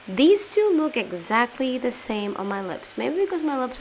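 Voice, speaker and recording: Lively in intonation, a woman with a non-native accent speaks at a fairly slow pace. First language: not English. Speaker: beauty youtuber. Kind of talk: product review. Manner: casual.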